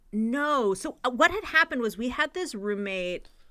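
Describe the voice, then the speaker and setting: Speaking with a Californian accent, a woman uses very wide pitch swings and a bright, sharp tone at a moderate pace, in a very clean recording with a silent background. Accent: Californian American. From US West Coast, San Francisco Bay Area. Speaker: comedian and podcaster. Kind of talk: casual chat.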